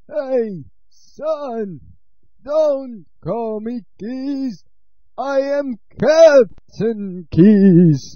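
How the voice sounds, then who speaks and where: A man speaks very slowly at an extremely high pitch, with lively intonation and big swings in loudness. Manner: blustering, shouting.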